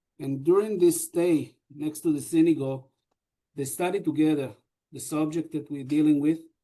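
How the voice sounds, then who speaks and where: With an Israeli accent, a man speaks at a fairly high pitch in a dark, mellow tone with ordinary pitch variation. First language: Hebrew. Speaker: deputy mayor. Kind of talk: panel discussion. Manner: halting.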